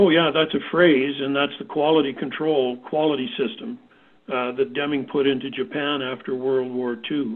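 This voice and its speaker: A man with a plain, everyday voice and a Canadian accent speaks at a moderate pace and a fairly high pitch. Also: ordinary pitch variation. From Canada. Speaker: safety consultant. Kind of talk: panel discussion.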